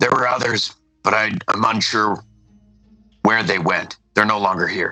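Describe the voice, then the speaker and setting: A man puts on a raspy character voice at a medium pitch. Faint music sits in the background. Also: moderate pace. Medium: actual play. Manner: hesitant, unsure.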